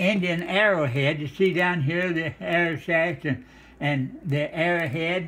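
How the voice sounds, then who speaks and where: Noticeable background noise sits behind a man speaking at a fairly slow pace, his pitch high with ordinary variation. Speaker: home cook. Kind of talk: casual cooking demonstration. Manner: folksy, homespun.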